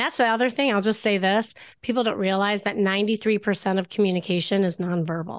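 Against a quiet background, a woman with an American accent and an unremarkable speaking voice talks at a fairly quick pace in a medium pitch with ordinary pitch variation. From US Midwest, Chicago. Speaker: dating coach and therapist. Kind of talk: interview.

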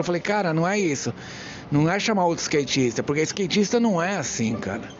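A high-pitched man at a very fast pace with lively intonation, over noticeable background noise. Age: 40s. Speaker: podcast host. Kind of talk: casual monologue. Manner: animated.

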